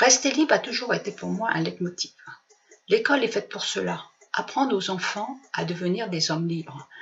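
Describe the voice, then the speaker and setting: The woman's pitch swings very widely. She speaks at a fairly quick pace. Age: 60s. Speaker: retired political activist. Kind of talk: prepared personal statement.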